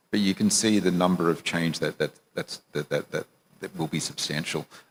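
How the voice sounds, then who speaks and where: Very deep and low in pitch, a man talks with an Australian accent. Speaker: banker, panelist. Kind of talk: panel discussion. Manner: halting, repeats words.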